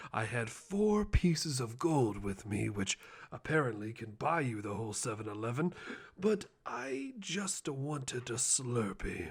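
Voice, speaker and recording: A put-on character voice, theatrical in tone, at a moderate pace. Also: man, medium pitch for a man. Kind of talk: ASMR roleplay, personal attention. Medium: solo performance. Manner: theatrical, self-aggrandizing.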